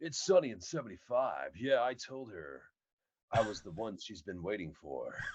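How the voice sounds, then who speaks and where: A man's resonant, medium-pitched put-on character voice at a moderate pace, with very wide pitch swings and big swings in loudness. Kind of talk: announcer-style.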